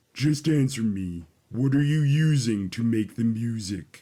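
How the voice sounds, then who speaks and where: Putting on a character voice, a man speaks at a medium pitch and a fairly slow pace with lively intonation. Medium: read story. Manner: calm, formal, measured.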